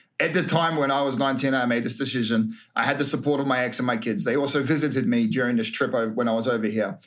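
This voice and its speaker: A man speaks at a very fast pace in a medium pitch, with ordinary pitch variation, very even loudness and audible room echo. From New Zealand and Queensland, Australia. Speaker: reality TV star. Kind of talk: casual interview chat.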